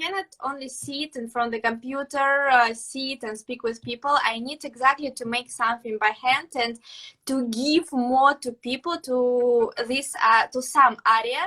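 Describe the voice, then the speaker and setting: Speaking in a Russian accent, a woman uses a raised, projected voice with a high pitch and a bright, sharp tone. Her pace is moderate with hardly any pauses, her intonation fairly even, and her loudness swings widely. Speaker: pastry chef. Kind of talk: interview. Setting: live video stream. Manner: halting.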